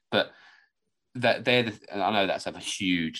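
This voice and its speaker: A man's fairly low pitch, ordinary pitch variation and an ordinary speaking voice. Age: 20s. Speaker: podcast co-host. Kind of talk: casual chat.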